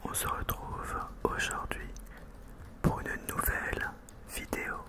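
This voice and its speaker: A man is whispering at a very slow pace. Noticeable background noise sits behind him. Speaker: ASMR creator and school teacher. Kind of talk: ASMR whisper video to the camera. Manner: whispered, soft-spoken.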